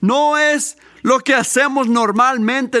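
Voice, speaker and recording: A man's raised, projected voice with a bright, sharp tone and ordinary pitch variation. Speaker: preacher. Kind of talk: sermon. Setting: church. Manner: earnest, teaching-style preaching with emphatic repetition of key points; halting, with restarts and fillers.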